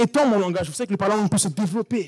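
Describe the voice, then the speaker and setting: A man's high voice, very fast and animated in tone. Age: 30s. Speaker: preacher. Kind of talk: sermon. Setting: church.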